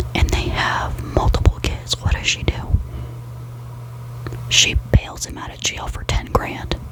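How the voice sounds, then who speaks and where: Whispering at a fairly slow pace, a woman leaves long, frequent pauses, her loudness swinging widely over noticeable background noise. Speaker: ASMR creator. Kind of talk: ASMR gossip talk to camera in bed. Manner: soft-spoken, whispering.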